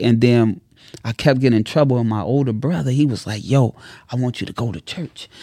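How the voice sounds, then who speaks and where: A dark, mellow tone at a fairly quick pace, with ordinary pitch variation over a quiet background. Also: man. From Chicago, South Side. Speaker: entrepreneur and content creator. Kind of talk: casual interview. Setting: studio. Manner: preacher-like delivery.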